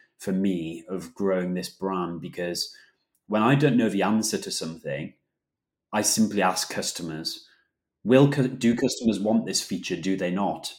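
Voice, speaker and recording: Here a man has an ordinary speaking voice and fairly low pitch. He keeps a moderate pace on a very clean recording with a silent background. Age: 20s. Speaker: food company co-founder. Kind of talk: interview.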